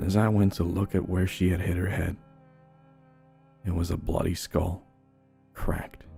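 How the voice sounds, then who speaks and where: Music sits in the background as a man with a very deep, low pitch talks at a fairly slow pace. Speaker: horror story narrator. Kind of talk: horror story narration.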